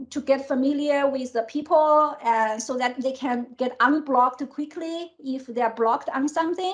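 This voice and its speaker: A woman with a non-native accent, a high pitch, ordinary pitch variation and a moderate pace. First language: not English. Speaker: tech executive. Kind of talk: interview. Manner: halting.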